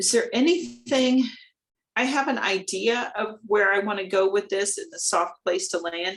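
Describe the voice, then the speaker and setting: This woman has a plain, everyday voice at a medium pitch. She talks at a moderate pace with lively intonation. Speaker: hypnotherapist. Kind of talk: meditation introduction.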